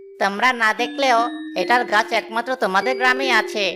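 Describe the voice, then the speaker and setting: At a moderate pace, a female-sounding voice does a cartoonish character voice with a fairly high pitch and very wide pitch swings, with clear background noise present. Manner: courteous, respectful.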